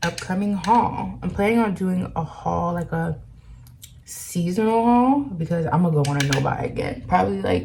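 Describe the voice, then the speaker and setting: A woman speaks quietly. Noticeable background noise runs behind her. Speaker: beauty vlogger. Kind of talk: makeup tutorial. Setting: at home. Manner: quiet, low volume.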